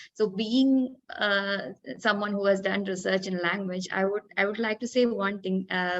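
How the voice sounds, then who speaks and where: This is a woman speaking. She has a Malayali accent. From India, Kerala. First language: Malayalam. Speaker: English language academic. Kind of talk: panel discussion. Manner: hesitant, many fillers.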